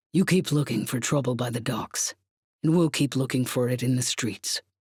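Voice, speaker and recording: A gruff, growling put-on character voice from a man, medium in pitch, at a moderate pace, with a dry, close sound with no echo on a very clean recording with a silent background. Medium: read story.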